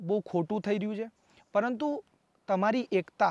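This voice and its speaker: The voice shows ordinary pitch variation in a dry recording with no echo and a quiet background. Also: man. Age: 30s. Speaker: independent election candidate; election candidate. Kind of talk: interview. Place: open country. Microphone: lapel.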